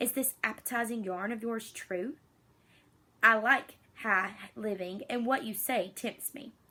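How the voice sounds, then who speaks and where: Using a put-on character voice, a woman speaks fairly slowly with a rumbling sound at a fairly high pitch. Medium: read story. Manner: grumbling, petulant.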